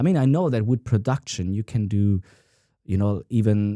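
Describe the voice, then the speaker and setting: With a non-native accent and a dark, mellow tone, a man speaks in a very clean recording over a silent background, the sound dry and close with no echo. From Italian-American. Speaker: guitarist. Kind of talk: casual talk to camera.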